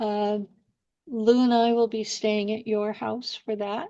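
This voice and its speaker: Over a quiet background, a woman with an American accent speaks very slowly at a medium pitch. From California. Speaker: podcast host. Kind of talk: casual chat.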